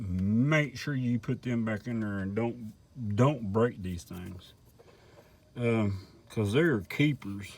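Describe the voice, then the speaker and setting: Speaking at a very slow pace in a rural Southern US accent, a man uses a medium pitch with ordinary pitch variation. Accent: Southern rural American. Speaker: person demonstrating a motor repair on video. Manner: casual, rambling, folksy.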